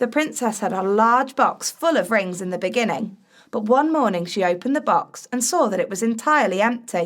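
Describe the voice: Intonation here is lively. It is plain reading aloud.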